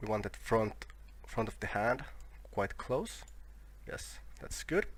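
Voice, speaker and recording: Very slow speech from a man with a non-native accent. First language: not English. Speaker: 3D software tutorial maker. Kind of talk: tutorial. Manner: halting, with fillers and self-corrections.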